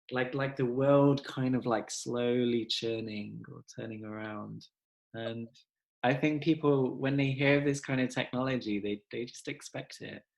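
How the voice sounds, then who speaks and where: A man with an English accent, medium pitch, a fairly slow pace, fairly even intonation and big swings in loudness. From England. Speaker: podcast host. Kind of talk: casual chat. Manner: halting.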